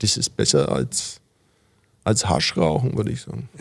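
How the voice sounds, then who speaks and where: A man at a moderate pace. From Franconia, Fürth. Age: 50s. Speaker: cabaret artist. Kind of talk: interview. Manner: hesitant, many fillers.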